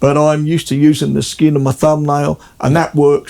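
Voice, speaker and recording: A man talks at a very fast pace in a dark, mellow tone with a fairly high pitch. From South Australia (Adelaide), born in England. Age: 70s. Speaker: guitarist. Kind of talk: casual chat. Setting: at his home.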